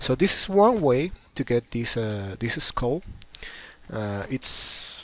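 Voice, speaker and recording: A man with a non-native accent speaks at a medium pitch with lively intonation over noticeable background noise. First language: not English. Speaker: gaming youtuber. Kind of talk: gameplay commentary. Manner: halting, many fillers and repeats; casual.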